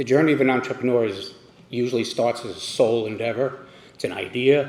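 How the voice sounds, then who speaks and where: Noticeable background noise sits behind a man's speech. He talks fairly quickly with fairly even intonation. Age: 70s. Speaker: company founder and CEO. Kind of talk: award acceptance speech.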